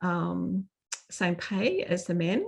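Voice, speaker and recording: With an Australian accent, a woman talks at a medium pitch over a quiet background. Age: 60s. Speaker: seminar speaker. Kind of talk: presentation. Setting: video call. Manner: halting, many fillers.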